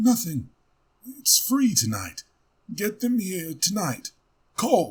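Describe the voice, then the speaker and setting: A man's put-on character voice, raspy and high-pitched, with lively intonation, a very slow pace and long, frequent pauses. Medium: read story. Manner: clipped, broken phrasing.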